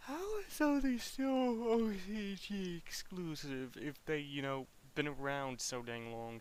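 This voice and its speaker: A man speaks with a high pitch and very wide pitch swings. Audible room echo surrounds his voice. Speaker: gaming streamer. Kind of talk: casual live stream commentary. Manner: halting, self-correcting.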